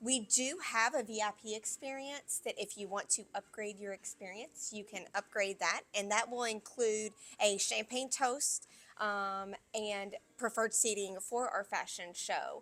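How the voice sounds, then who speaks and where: In a Kentucky accent, a woman speaks at a fairly slow pace, her fairly high voice bright and sharp in tone with fairly even intonation. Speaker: venue manager. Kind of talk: interview.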